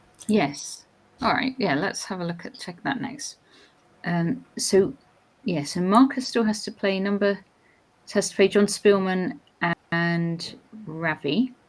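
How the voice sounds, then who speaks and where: A woman with a southern English accent speaks with lively intonation, big swings in loudness and long, frequent pauses. Music plays in the background. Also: medium pitch for a woman, fairly slow pace. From England. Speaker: chess commentator. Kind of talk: live commentary. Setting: live stream.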